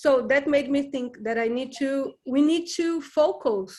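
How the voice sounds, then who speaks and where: In a Brazilian Portuguese accent, a woman speaks at a very slow pace. Her pitch is high with ordinary variation. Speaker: book group member. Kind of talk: casual discussion. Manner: halting.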